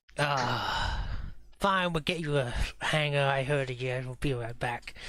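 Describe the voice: A put-on character voice at a low-to-middle pitch and a fairly slow pace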